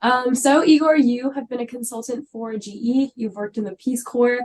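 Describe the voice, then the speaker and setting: A woman talks at a fairly quick pace in a fairly high pitch, with ordinary pitch variation. Hers is an unremarkable speaking voice. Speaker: student podcast host. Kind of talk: podcast interview.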